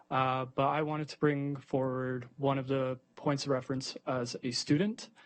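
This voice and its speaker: A man speaks in a flat, monotone way at a medium pitch. His delivery is moderately paced, with a Canadian accent. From Ontario, Canada. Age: 20s. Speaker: university student giving a delegation. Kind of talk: public delegation speech. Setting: school board meeting. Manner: hesitant, many fillers.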